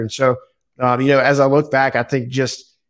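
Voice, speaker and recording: A man speaks at a fairly quick pace over a quiet background. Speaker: podcast guest. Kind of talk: interview answer.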